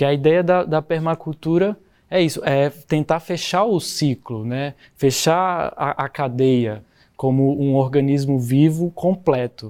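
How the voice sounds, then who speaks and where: A very clean recording with a silent background of a man with a fairly high pitch, ordinary pitch variation and a fairly slow pace. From Brazil, Goiás (rural). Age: 20s. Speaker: permaculture builder. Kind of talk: interview. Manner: halting.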